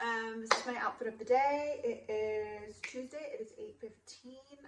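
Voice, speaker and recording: A fairly high-pitched woman at a fairly slow pace, over noticeable background noise. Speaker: vlogger. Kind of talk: casual vlog monologue. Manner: frequent filler um.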